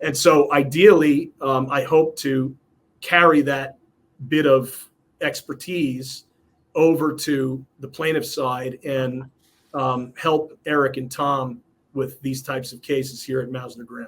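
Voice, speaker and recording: A man with an American accent talks at a fairly slow pace in a fairly high pitch. His intonation is monotone and flat, while his loudness swings widely. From New York, Westchester County. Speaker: personal injury lawyer. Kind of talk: casual interview. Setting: video recording. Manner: halting, many fillers.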